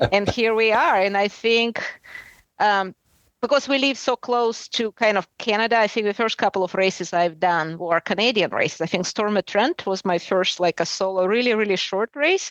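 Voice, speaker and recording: A woman with a Russian accent at medium pitch, ordinary pitch variation, a moderate pace and very even loudness, in a dry, close sound with no echo and a quiet background. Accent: Russian, pronounced. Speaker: adventure racer. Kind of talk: interview.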